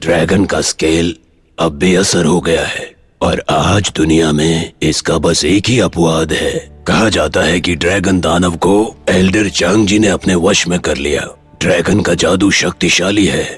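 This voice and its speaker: Over faint music in the background, a man uses a put-on character voice with a very deep, low pitch, fairly even intonation and a moderate pace. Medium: fan dub. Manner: measured, knowing.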